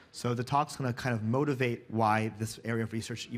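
The pace is fairly quick. The speaker is a man. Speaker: conference speaker. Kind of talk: lecture. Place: stage.

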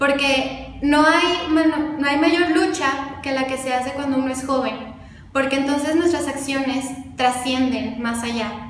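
A high-pitched woman at a fairly slow pace, fairly even in intonation, with audible room echo and light background noise. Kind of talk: interview answer. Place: office.

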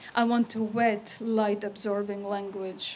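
A woman talks in a monotone, flat intonation at a fairly slow pace. There is light background noise. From Croatia (Yugoslavia), Adriatic coast. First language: Croatian. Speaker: poet. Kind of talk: poetry reading. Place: stage. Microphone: podium.

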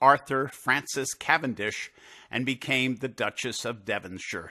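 A man's plain, everyday voice at a medium pitch and fairly slow pace, over a quiet background. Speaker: narrator. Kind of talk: scripted documentary narration. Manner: measured, formal, steady storytelling pace.

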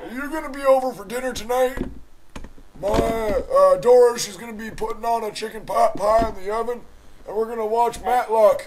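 A man speaks in a put-on character voice, pitched extremely high for a man. His intonation stays fairly even at a moderate pace. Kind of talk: comic overacting prank call. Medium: solo performance. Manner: rambling, indignant, polite but absurd.

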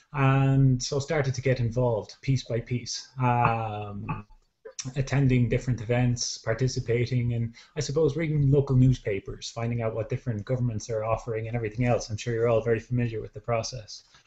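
Speaking in a Dublin accent, a man talks at a fairly quick pace with a monotone, flat intonation and a somewhat breathy sound. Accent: Irish, Dublin. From Ireland, Dublin. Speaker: social entrepreneur and dance teacher. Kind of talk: online panel discussion. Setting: video call. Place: home room. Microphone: video call.

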